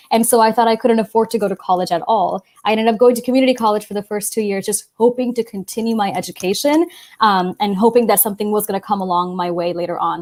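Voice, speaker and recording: A woman talks at a very fast pace with hardly any pauses. Her pitch is fairly high, and the recording is very clean with a silent background. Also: ordinary pitch variation. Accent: American. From Los Angeles, California. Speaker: college access panelist. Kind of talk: panel talk.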